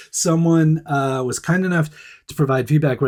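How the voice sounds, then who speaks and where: Using a normal speaking voice, a man talks at a moderate pace with fairly even intonation and a fairly high pitch. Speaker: podcast and video host. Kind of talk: casual, conversational.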